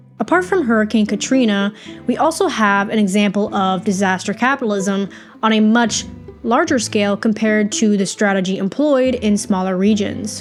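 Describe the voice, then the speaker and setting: Over music in the background, a woman speaks at a medium pitch with ordinary pitch variation. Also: moderate pace, very even loudness. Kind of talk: documentary-style narration.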